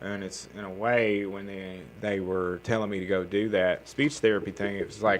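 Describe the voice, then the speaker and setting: With a Southern US accent, a man talks at a moderate pace with hardly any pauses, fairly even intonation and big swings in loudness. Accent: Southern accent, noticeable. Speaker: comedian. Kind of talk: casual podcast chat. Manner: casual, with many fillers and restarts.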